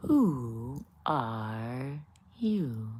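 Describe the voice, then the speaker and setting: A put-on character voice pitched low-to-middle. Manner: slow, drowsy.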